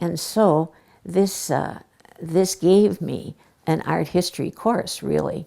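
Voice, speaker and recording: Speaking very slowly, a woman uses a fairly low pitch and vocal fry, her tone dark and mellow. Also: ordinary pitch variation. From US Midwest, Milwaukee. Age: 80s+. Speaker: oral history interviewee, former museum docent. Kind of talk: oral history interview. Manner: halting, frequent uh.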